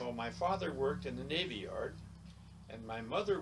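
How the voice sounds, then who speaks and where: Audible room echo is heard as a man speaks with an American accent. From Wyoming, US. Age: 80s+. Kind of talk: interview. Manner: halting.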